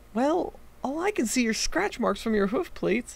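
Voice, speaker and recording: A high-pitched put-on character voice with very wide pitch swings. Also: moderate pace. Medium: read story. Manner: exasperated.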